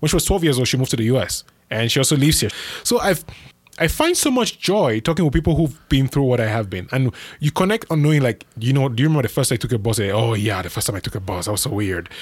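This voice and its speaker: A man talks at a very fast pace, somewhat breathy, with lively intonation. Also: medium pitch for a man. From Cameroon. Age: 20s. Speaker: podcast producer and writer. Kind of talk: casual chat. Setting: studio.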